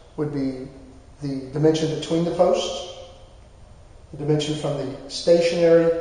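A man speaks with fairly even intonation amid strong room echo. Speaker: product demonstrator. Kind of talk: tutorial. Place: meeting room.

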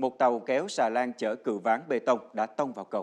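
Here a man speaks at a medium pitch and a moderate pace. Pitch varies in an ordinary way over a quiet background. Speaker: news anchor. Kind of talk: news reading. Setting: studio. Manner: formal. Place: studio. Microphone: lapel.

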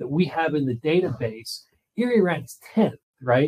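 A man with an American accent and a fairly high pitch has an unremarkable speaking voice. His intonation is lively. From Philadelphia, US. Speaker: economic consultant. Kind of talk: webinar presentation.

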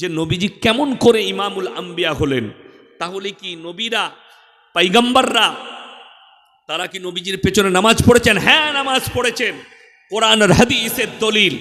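A man speaks in a raised, projected voice with an animated tone. His pitch sits high, and his intonation is lively. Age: 30s. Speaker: Islamic preacher. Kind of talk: sermon.

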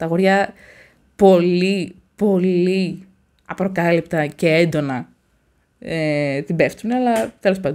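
Against a quiet background, a woman is talking. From Greece, provincial. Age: 20s. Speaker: YouTuber, university student; YouTuber. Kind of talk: casual vlog monologue. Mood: passionate, animated. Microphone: studio mic.

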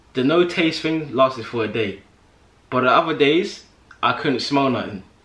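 With lively intonation and a fairly high pitch, a man talks at a moderate pace in a room with audible echo. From England. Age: 20s. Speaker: YouTuber. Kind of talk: casual talk to camera. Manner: upbeat, chatty. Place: home room. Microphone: phone near.

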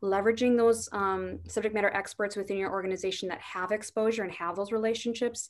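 With an American accent, a woman speaks at a fairly quick pace and a medium pitch. Her intonation is monotone and flat. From US Midwest. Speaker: corporate diversity manager; panelist. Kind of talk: webinar panel discussion. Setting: video call. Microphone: video call.

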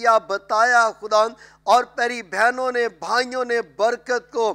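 A man's raised, projected voice, extremely high-pitched with a bright, sharp tone, monotone and flat, at a very slow pace against a quiet background. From Pakistan. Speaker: pastor and TV program host; talk show host, pastor. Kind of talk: religious talk show interview. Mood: warm, earnest. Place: studio.

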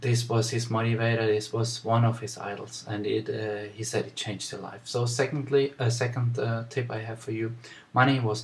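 Against light background noise, a man talks at a moderate pace in a somewhat breathy, monotone, flat voice. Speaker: vlogger. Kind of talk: casual vlog chat. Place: home room. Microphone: webcam.

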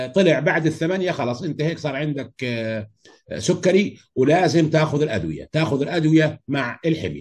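A man with a normal speaking voice, pitched fairly high, talks at a moderate pace with ordinary pitch variation. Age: 50s. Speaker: health educator. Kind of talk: educational talk. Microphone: video call.

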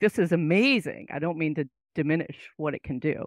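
Over a quiet background, a woman speaks with a very deep, low pitch in a dry sound with no echo. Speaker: English professor. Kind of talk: interview discussion. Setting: video call with headset, at home. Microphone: headset.

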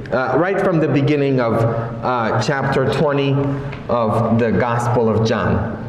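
Amid light background noise and audible room echo, a man speaks at a very slow pace. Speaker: priest. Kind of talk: sermon. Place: church. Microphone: camera far.

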